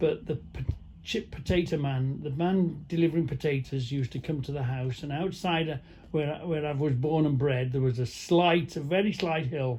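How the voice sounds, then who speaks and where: This man's voice is somewhat breathy and pitched fairly high. Its pitch variation is ordinary. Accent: North Welsh. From North Wales (Caernarfon area). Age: 60s. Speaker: truck driver vlogger. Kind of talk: casual monologue. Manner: halting.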